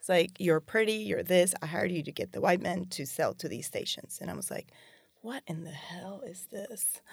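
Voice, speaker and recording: A woman talks at a moderate pace and a medium pitch, with ordinary pitch variation and vocal fry. Her loudness swings widely. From Puerto Rico. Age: 40s. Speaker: business manager. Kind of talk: interview. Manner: animated.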